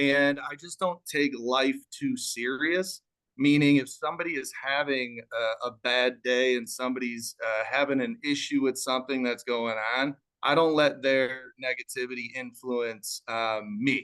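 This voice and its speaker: A man with a slight Chicago accent, medium pitch, a bright, sharp tone, fairly even intonation, and a fairly slow pace. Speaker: real estate wholesaler. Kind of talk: business talk on live panel. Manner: calm.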